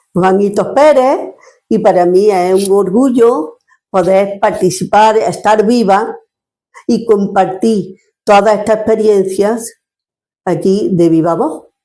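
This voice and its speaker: A woman at a very slow pace, with a dark, mellow tone, medium pitch and ordinary pitch variation. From Andalusia, Spain (Córdoba province). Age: 70s. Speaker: retired social worker, grandmother interviewee. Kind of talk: personal testimony. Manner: halting, with repetitions.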